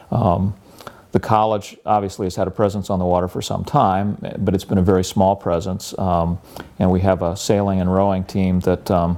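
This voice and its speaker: Noticeable background noise sits behind a man with a very deep, low pitch. He talks at a moderate pace in a monotone, flat intonation. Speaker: college professor and environmental center director. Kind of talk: interview. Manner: soft-spoken; hesitant, many fillers.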